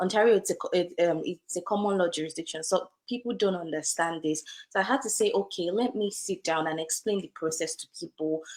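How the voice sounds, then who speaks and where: A woman speaks with an African accent. Her pace is fairly quick. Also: medium pitch for a woman, ordinary pitch variation. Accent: African accent, kept. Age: young. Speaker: lawyer. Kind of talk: interview. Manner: conversational with fillers.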